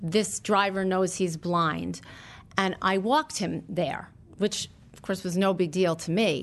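Against a quiet background, a woman with vocal fry speaks at a fairly slow pace in a medium pitch, her pitch varying in an ordinary way while her loudness swings widely. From New York, Long Island. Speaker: retail stylist. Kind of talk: storytelling interview.

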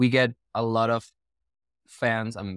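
With an Argentine accent, a man speaks in a dry, close sound with no echo, and the recording is very clean with a silent background. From Argentina; Neuquén, southern Argentina. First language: Spanish. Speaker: Broadway performer and voice teacher. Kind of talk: podcast interview, casual conversation. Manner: hesitant, with filler words.

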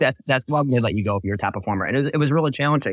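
Recorded very cleanly with a silent background and a dry, close sound with no echo, a man speaks with ordinary pitch variation. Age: 40s. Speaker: recruitment business owner. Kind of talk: interview.

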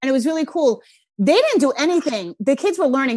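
In a strong Rhode Island accent, a woman speaks at a high pitch with very wide pitch swings. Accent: Rhode Island, thick. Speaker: parenting podcast host. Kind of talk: casual interview chat.

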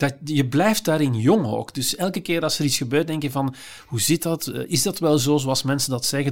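On a very clean recording with a silent background, a man with a Flemish accent talks using ordinary pitch variation. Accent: Flemish Dutch. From Flanders, Belgium. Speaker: psychiatrist and philosopher. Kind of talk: casual interview.

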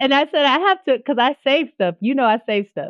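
Speaking fairly quickly with an American accent, a woman has an animated tone and ordinary pitch variation. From Missouri, US. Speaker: entrepreneur and former music teacher. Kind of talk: casual interview chat. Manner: animated, big personality.

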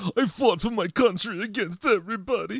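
A gruff, put-on character voice from a man, high-pitched and fairly quick. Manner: exaggerated, dumb-sounding, gruff.

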